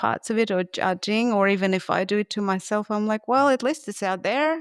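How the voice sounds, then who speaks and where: A woman with a Russian accent at medium pitch, ordinary pitch variation and a moderate pace, in a very clean recording with a silent background and a dry, close sound with no echo. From Russia, Moscow. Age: 30s. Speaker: gestalt therapist. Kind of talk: podcast interview. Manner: halting.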